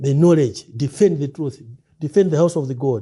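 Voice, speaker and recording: This man has a fairly high pitch and a dark, mellow tone. He sounds somewhat breathy and talks at a moderate pace. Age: 60s. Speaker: preacher. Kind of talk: interview. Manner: halting.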